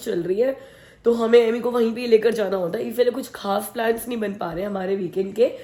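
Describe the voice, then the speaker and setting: A woman speaks with fairly even intonation in a dark, mellow tone. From India. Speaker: family vlogger. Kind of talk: casual vlog talk.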